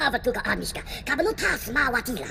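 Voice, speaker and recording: A squeaky, put-on character voice, female-sounding and high-pitched, at a very fast pace over clear background noise. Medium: video game. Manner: rapid chattering.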